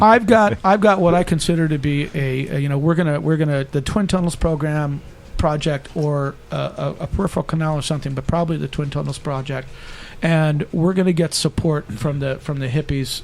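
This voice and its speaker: A man's fairly high pitch at a fairly quick pace, with ordinary pitch variation and a normal speaking voice. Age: 50s. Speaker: state assembly candidate. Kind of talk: political debate. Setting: studio.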